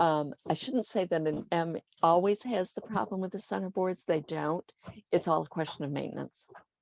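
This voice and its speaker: In a normal speaking voice, a woman talks at a moderate pace with a fairly low pitch and ordinary pitch variation, the sound dry and close with no echo. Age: 60s. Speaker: liveaboard sailor and cooking website author. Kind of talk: interview. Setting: call.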